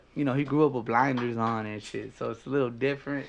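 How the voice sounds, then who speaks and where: Against a quiet background, a man speaks in a South Central LA accent. His tone is animated. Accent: South Central LA twang. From Los Angeles, South Central. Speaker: podcast host. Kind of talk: casual chat.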